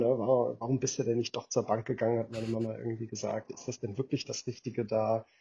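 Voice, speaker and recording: A man with a medium-pitched, somewhat breathy voice talks at a fairly quick pace. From Germany. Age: 40s. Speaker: venture capital investor. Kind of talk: interview.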